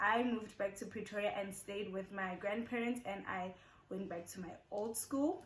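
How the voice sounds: Audible room echo surrounds a woman speaking with ordinary pitch variation.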